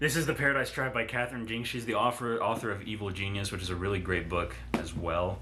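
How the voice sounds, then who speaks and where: Amid noticeable background noise and audible room echo, a man with a fairly low pitch talks at a very fast pace with hardly any pauses and ordinary pitch variation. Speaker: booktuber. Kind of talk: casual monologue. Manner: halting.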